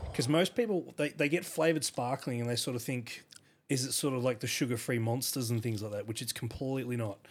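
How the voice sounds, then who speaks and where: Talking very fast, a man with an Australian accent has a medium pitch and ordinary pitch variation. The recording is very clean, with a silent background. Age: 30s. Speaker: photographer. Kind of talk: casual chat.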